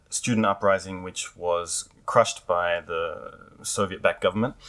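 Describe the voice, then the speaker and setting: This man's tone is bright and sharp, and his pitch varies in an ordinary way. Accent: Australian. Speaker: podcast host, English teacher. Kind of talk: casual interview for English learners.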